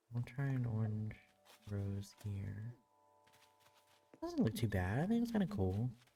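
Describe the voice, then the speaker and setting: Soft-spoken delivery comes at a fairly slow pace with long, frequent pauses. Music plays in the background. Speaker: streamer. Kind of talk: casual gameplay commentary. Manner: soft-spoken, quiet.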